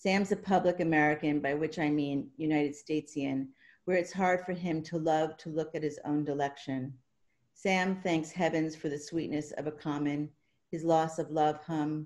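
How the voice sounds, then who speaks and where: Over a quiet background, a woman with a very deep, low pitch talks at a moderate pace with fairly even intonation. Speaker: poet and writing professor; poet. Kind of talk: poetry reading. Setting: video call. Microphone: webcam.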